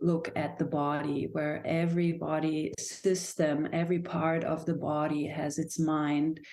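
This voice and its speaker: A woman with a German accent speaks in a very deep, low voice with a dark, mellow tone and monotone, flat intonation. Audible room echo surrounds her. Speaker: dancer and somatic movement teacher. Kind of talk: podcast interview. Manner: halting.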